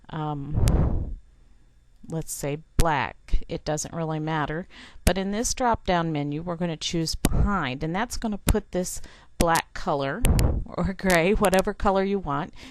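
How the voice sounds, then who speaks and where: A woman with a fairly low pitch talks at a fairly slow pace, her pitch varying in an ordinary way. She has an ordinary speaking voice, heard against a quiet background. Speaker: software tutorial teacher. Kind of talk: tutorial. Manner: frequent fillers (um, uh).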